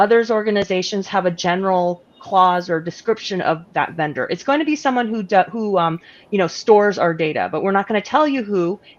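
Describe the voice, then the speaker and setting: A woman's medium-pitched voice at a fairly quick pace, with lively intonation. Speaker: lawyer. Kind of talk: panel discussion. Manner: fast.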